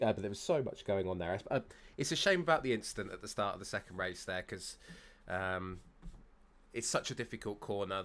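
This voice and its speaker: Speaking at a fairly quick pace with long, frequent pauses, a man with a fairly low pitch and ordinary pitch variation is heard on a very clean recording with a silent background. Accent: British. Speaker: sim racing commentator. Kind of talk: live commentary.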